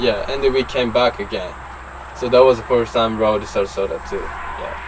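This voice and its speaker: A man with a Japanese accent against noticeable background noise. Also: moderate pace. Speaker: BMX racer. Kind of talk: casual interview. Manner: halting.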